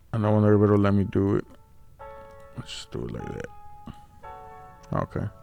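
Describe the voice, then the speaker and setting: A man at a fairly low pitch, very fast pace, ordinary pitch variation and long, frequent pauses, with music in the background. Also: big swings in loudness. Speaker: CAD designer and machinist. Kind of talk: casual screen-recording walkthrough.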